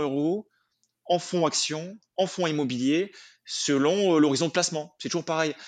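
Against a quiet background, a man with an unremarkable speaking voice talks at a moderate pace, fairly high in pitch with ordinary pitch variation. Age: 30s. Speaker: personal finance expert. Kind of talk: interview.

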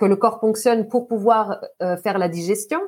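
This woman uses a normal speaking voice. Her pitch is fairly high, with ordinary pitch variation. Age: 40s. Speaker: hydration and mindset coach. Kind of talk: podcast interview.

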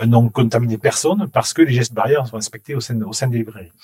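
A man with a medium-pitched voice speaks in a somewhat breathy way. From Toulouse, southern France. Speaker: bookstore chain executive. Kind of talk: interview. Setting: empty bookstore. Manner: halting, repeats words.

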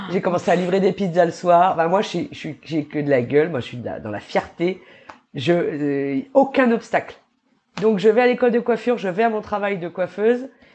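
A woman of medium pitch at a moderate pace, with very wide pitch swings and big swings in loudness. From New Caledonia. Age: 30s. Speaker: entrepreneur. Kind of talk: interview.

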